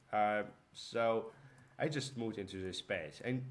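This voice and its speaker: Speaking with a Ukrainian accent, a man keeps a fairly slow pace. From Ukraine. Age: young. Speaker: young entrepreneur, vlogger. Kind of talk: casual vlog talk. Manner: halting, with fillers.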